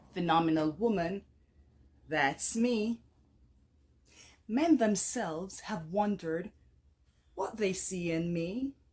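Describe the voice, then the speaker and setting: Her voice somewhat breathy, a woman speaks at a very slow pace with lively intonation and long, frequent pauses. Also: medium pitch for a woman. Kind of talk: poetry reading. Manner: dynamic, compelling.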